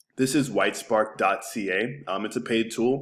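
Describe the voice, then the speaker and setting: Pitch moves in an ordinary way across a very clean recording with a silent background. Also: man. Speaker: digital marketing agency owner. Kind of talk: screencast website review tutorial. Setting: screen recording. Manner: casual, many filler words; fast.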